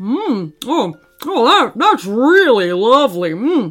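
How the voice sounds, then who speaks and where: A female-sounding put-on character voice, fairly high in pitch with very wide pitch swings, at a fairly slow pace. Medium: read story. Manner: gentle, old-fashioned, fussing.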